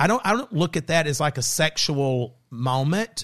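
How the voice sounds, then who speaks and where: Over a quiet background, a man with an American accent speaks at a fairly slow pace in a fairly high pitch with very wide pitch swings, the sound dry and close with no echo. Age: 50s. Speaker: podcast host. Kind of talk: casual chat. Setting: studio.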